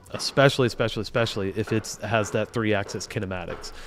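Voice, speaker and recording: Speaking with a Southern US accent, a man with a fairly low pitch talks in a monotone, flat intonation on a very clean recording with a silent background. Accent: Southern American. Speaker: automation engineer livestreamer. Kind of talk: casual livestream tutorial. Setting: livestream. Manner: casual, halting with fillers.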